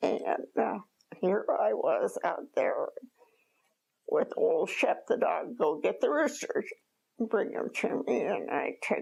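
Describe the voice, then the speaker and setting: A woman speaks in an American accent at a very slow pace. Her speech has long, frequent pauses. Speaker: former farm woman, World War II era worker. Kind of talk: interview answer.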